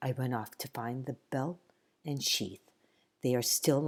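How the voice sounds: Fairly even intonation in a natural reading voice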